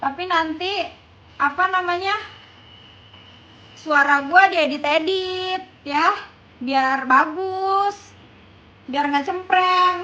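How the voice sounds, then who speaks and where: A woman speaks in a raised, projected voice at an extremely high pitch, with a bright, sharp tone and ordinary pitch variation. Her pace is very slow, and she takes long, frequent pauses. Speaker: livestreamer. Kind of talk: casual live stream chat.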